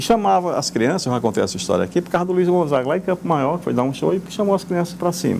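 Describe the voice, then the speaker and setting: Here a man speaks with a high pitch. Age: 70s. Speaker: politician, former mayor. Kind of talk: radio interview. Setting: studio. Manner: halting, with repetitions.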